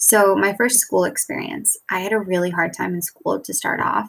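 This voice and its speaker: Recorded very cleanly against total silence, a woman talks fairly slowly. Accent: American. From US, Bulgarian immigrant family. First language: Bulgarian. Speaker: teacher. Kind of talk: recorded presentation. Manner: casual, with fillers.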